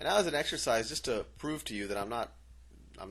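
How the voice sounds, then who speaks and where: With vocal fry, a man talks as his pitch moves through very wide swings. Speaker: math teacher. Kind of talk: tutorial.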